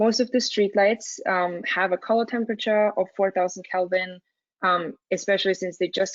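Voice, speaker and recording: At a fairly quick pace, a woman talks with an Austrian accent. Her pitch sits in the medium range. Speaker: student and dark sky coordinator. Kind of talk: webinar presentation. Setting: webinar. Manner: halting with fillers.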